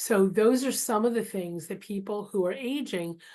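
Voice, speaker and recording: Speaking at a moderate pace, a woman has a dark, mellow tone at a medium pitch with ordinary pitch variation. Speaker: therapist and guest speaker. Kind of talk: talk to an online group.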